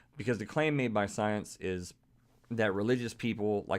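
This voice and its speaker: A man talks at a fairly quick pace in an animated tone, his pitch fairly low with ordinary pitch variation. The recording is very clean, with a silent background. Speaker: podcast host. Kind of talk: monologue. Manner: fast.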